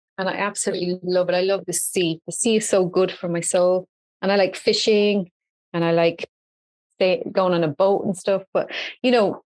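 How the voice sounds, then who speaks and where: A woman speaks in an Irish accent at a moderate pace. Her medium-pitched voice sounds dry and close, with no echo. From Ireland, Dublin. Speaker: entrepreneur and social media expert. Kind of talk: podcast interview. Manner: animated.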